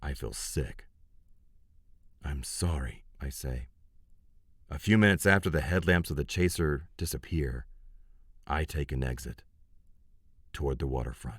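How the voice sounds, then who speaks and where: Pausing long and often, a man with a very deep, low pitch and vocal fry speaks at a moderate pace in a very clean recording with a silent background. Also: ordinary pitch variation. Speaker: audiobook narrator. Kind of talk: audiobook narration. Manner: first-person hard-boiled noir narration.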